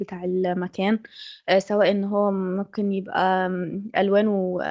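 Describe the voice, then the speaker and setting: A woman with an Egyptian accent speaks at a medium pitch and a moderate pace. The sound is dry and close, with no echo. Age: 20s. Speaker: design student. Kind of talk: testimony.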